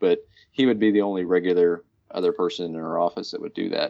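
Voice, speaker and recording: A man with a US Midwestern accent against a quiet background. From Kansas, US. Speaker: bicycle commuter. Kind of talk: interview.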